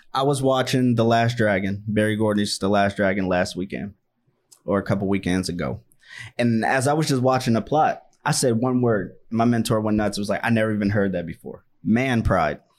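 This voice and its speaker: This man talks at a fairly quick pace with an American accent, a fairly low pitch and ordinary pitch variation. His is an unremarkable speaking voice, captured in a very clean recording with a silent background. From Washington, D.C. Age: 20s. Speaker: podcast host. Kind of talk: casual podcast conversation. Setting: studio.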